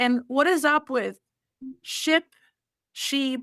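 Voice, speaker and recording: A woman's high, bright and sharp voice moves at a very slow pace with fairly even intonation in a dry, close sound with no echo. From Albania. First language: Albanian. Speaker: college volleyball coach. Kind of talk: interview.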